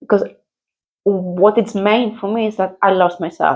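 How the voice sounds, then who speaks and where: The speaker has a Greek accent. The pace is fairly slow. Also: woman. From Greece. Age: 50s. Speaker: mother. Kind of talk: interview. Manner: loud; animated.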